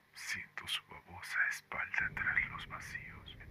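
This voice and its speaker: A man whispers very slowly while noticeable background noise carries on behind him. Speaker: horror story author narrating his own story. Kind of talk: dramatic horror narration, first-person reading aloud of a nightmare story. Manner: dramatic, tense, slow and deliberate with eerie pauses.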